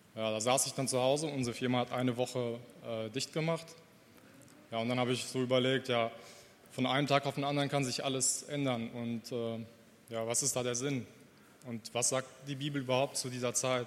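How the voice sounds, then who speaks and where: The speaker uses monotone, flat intonation and leaves long, frequent pauses. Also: man, medium pitch for a man, fairly quick pace. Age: 30s. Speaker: church member. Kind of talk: testimony. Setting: church service. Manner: halting.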